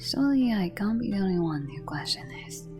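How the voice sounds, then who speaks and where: Music plays in the background. The speaker is soft-spoken. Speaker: game theory commentator. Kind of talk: video game theory commentary.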